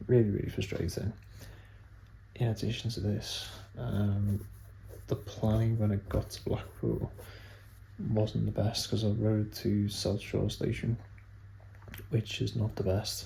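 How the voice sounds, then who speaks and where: This soft-spoken voice moves at a fairly slow pace, with long, frequent pauses. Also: man. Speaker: cycling vlogger. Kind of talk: vlog recap. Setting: at home, evening.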